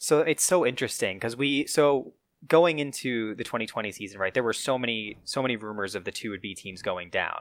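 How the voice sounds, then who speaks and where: A man with an ordinary speaking voice and an American accent talks at a fairly quick pace with medium pitch and lively intonation, on a very clean recording with a silent background. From upstate New York. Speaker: soccer podcast co-host. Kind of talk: casual chat.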